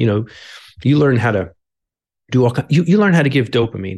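Speaking with an American accent, a man uses a medium pitch with ordinary variation and a somewhat breathy quality. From upstate New York, Albany. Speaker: paramedic and author. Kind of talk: interview conversation.

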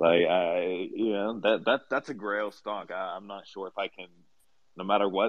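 A plain, everyday voice from a man, fairly low in pitch with fairly even intonation. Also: moderate pace, big swings in loudness. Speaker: NFT community member. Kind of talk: casual chat. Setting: live audio room online.

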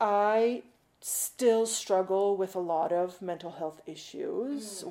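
A woman speaks with a Canadian accent and a dark, mellow tone. Her intonation stays fairly even. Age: 40s. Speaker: guest sharing mental health story. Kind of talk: interview testimony. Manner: halting, many fillers.

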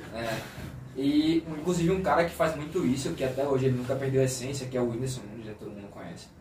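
Amid noticeable background noise and audible room echo, a man talks at a very fast pace and medium pitch, with ordinary pitch variation and big swings in loudness. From Brazil, Aracaju (Sergipe, Northeast). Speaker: podcast co-host. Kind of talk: casual chat.

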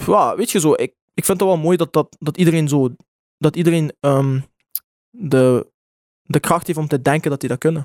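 A man at a fairly high pitch and moderate pace, with ordinary pitch variation, long, frequent pauses, and a dry, close sound with no echo. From Belgium, Genk (Limburg). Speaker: music artist. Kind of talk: casual chat.

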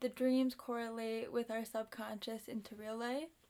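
A woman talks in a high pitch. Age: 20s. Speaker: yoga instructor and co-host. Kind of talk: casual chat.

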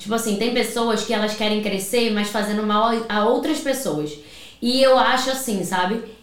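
A woman's fairly high voice, with ordinary pitch variation and a moderate pace, is heard amid audible room echo and noticeable background noise. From Rio de Janeiro, Brazil; from 14 in Paraíba. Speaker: salon owner and hair colorist. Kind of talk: casual chat.

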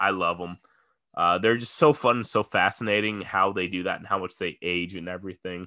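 On a very clean recording with a silent background, a man with a very deep, low pitch and a bright, sharp tone talks at a fairly quick pace, with big swings in loudness. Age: 20s. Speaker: sports betting podcast host. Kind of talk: solo casual podcast monologue. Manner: animated, frequent laughing.

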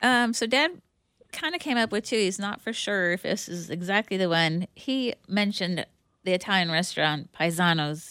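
Lively intonation marks an ordinary speaking voice moving at a moderate pace on a very clean recording with a silent background. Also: woman, medium pitch for a woman. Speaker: bakery owner. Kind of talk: casual chat. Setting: studio.

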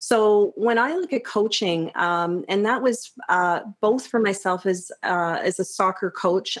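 A woman uses a plain, everyday voice at a fairly slow pace. Her intonation stays fairly even. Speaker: high school teacher. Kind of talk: casual interview. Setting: studio.

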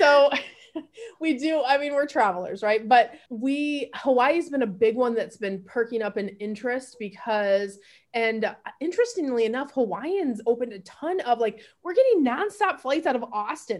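A woman with an American accent speaks at a moderate pace in a high pitch. Her intonation is lively, and the recording is very clean with a silent background. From US Midwest, Grand Rapids, Michigan. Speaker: travel industry consultant. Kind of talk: podcast interview.

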